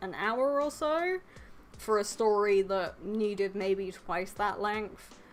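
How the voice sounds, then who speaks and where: With music in the background, a woman talks quietly at a very slow pace, her medium pitch showing ordinary variation. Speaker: anime YouTuber. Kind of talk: casual chat. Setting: live stream. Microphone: too quiet, told to get closer to mic.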